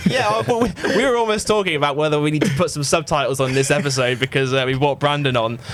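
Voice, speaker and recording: Music plays in the background as a man talks at a very fast pace. His fairly high voice carries lively intonation. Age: 30s. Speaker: basketball podcast host. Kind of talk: casual chat. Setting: studio.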